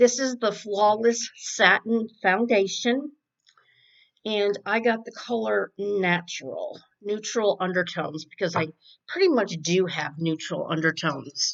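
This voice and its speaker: A woman at medium pitch with lively intonation, speaking at a very slow pace. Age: 60s. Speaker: beauty vlogger. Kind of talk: makeup tutorial. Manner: casual, chatty.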